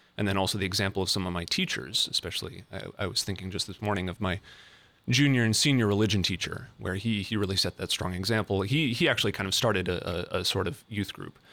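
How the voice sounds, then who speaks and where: The speaker has an American accent, a bright, sharp tone and ordinary pitch variation at a very fast pace. The recording is very clean, with a silent background. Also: man, fairly low pitch for a man. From US Midwest, Fargo, North Dakota. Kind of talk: casual chat.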